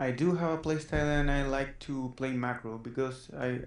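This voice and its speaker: With a slight Spanish accent, the speaker talks at a moderate pace amid audible room echo. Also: man. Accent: Spanish-accented English, mild. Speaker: student gamer being coached. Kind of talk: coaching session, casual chat. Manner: halting.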